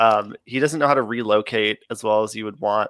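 A man is speaking. His pace is moderate. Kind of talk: casual banter, sports chat. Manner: easygoing, joking, chatty.

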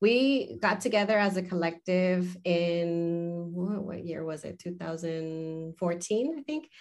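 Her pitch fairly low, a woman speaks at a very slow pace with ordinary pitch variation. She leaves hardly any pauses. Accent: American. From US, Southern California (San Fernando Valley). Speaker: academic and author. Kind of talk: interview conversation.

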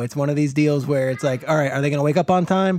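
Delivered in a normal speaking voice, the intonation stays fairly even. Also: man. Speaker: football analyst. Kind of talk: casual interview chat.

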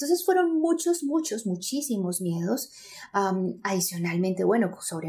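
A woman with lively intonation at a moderate pace, over noticeable background noise. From Colombia, Medellín. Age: 30s. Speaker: psychologist and speaker. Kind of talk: interview.

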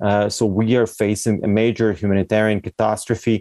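Over a quiet background, a man with a fairly low pitch and a dark, mellow tone talks at a fairly quick pace, the sound dry and close with no echo. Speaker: civilian in war zone. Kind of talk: interview. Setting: phone or video call. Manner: halting.

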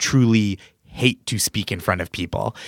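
An unremarkable speaking voice with an American accent moves at a fairly quick pace with ordinary pitch variation. The recording is very clean, with a silent background and a dry, close sound with no echo. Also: man. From Massachusetts, near Boston. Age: 30s. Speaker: comedian. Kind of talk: casual chat.

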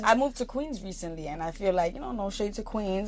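A woman in a Brooklyn accent, medium-pitched and very fast, with very wide pitch swings. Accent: New York, Brooklyn. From Brooklyn, New York. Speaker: podcast host. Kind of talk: casual New York slang.

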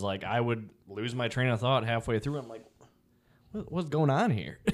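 Heard in a very clean recording with a silent background, a man with a plain, everyday voice talks in a medium pitch with ordinary pitch variation. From Chicago, US Midwest. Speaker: police officer and personal trainer. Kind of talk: casual chat.

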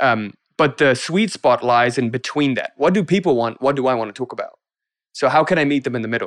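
Speaking at a fairly quick pace in an ordinary speaking voice, a man with fairly high pitch and ordinary pitch variation sounds dry and close, with no echo. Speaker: business coach. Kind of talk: podcast interview.

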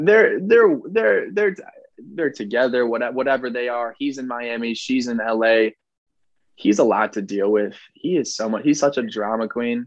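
This man has a normal speaking voice, a medium pitch, ordinary pitch variation and a moderate pace. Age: 20s. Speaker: reality TV star guest. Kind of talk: casual interview chat. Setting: video call from childhood bedroom.

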